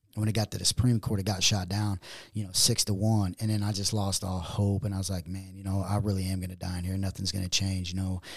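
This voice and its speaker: A man's very fast, monotone, flat delivery, fairly low in pitch and somewhat breathy, on a very clean recording with a silent background. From US, moved around the East Coast, Chicago and Missouri. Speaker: former prisoner. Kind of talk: interview.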